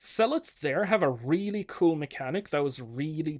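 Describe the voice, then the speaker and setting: A man's lively intonation comes through on a very clean recording, the background silent. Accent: Swedish. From Sweden. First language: Swedish. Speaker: game designer vlogger. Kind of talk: casual thinking-aloud video diary. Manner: hesitant, many fillers.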